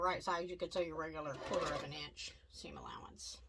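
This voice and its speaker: A woman talks at a fairly quick pace with a Southern US accent. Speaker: quilting instructor. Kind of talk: tutorial. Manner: casual, chatty.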